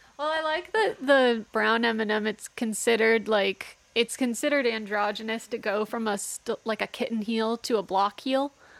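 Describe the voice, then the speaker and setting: In a dry, close recording with no echo, a woman with an American accent and an ordinary speaking voice talks at a moderate pace with hardly any pauses, her fairly high pitch showing ordinary variation. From Texas. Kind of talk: casual chat.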